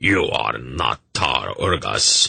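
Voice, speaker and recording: A raspy, put-on character voice from a man. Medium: read story. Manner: haughty and condescending.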